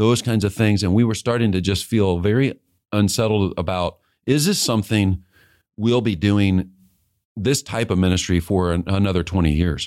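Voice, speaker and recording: A man with an ordinary speaking voice and an American accent, fairly low in pitch with ordinary pitch variation, very even loudness and a moderate pace, on a very clean recording with a silent background. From Kansas City, Missouri. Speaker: seminary dean and former evangelist. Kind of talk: interview.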